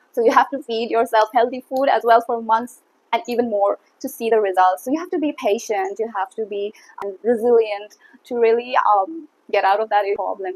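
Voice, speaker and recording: A woman speaks at a moderate pace in an Assam accent, with a fairly high pitch and ordinary pitch variation. The sound is dry and close, with no echo. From India, Assam. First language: Assamese. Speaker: YouTuber. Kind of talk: casual talk to camera. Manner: hesitant, many fillers.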